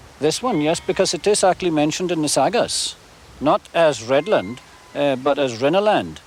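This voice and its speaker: A man talks at a moderate pace with a fairly high pitch and lively intonation. Noticeable background noise runs under his voice. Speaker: farmer. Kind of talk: interview answer. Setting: outdoors. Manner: hesitant, with frequent fillers.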